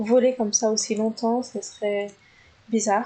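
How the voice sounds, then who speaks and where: A fairly high-pitched woman's voice, dark and mellow in tone, with fairly even intonation at a moderate pace. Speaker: gaming YouTuber. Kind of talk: gameplay commentary. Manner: hesitant, many fillers.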